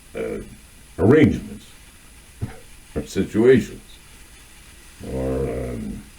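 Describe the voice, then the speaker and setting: A man speaks at a very slow pace with a very deep, low pitch. His intonation is lively, broken by long, frequent pauses. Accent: American. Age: 60s. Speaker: video essayist. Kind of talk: monologue on literature and culture. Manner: halting, many filler words.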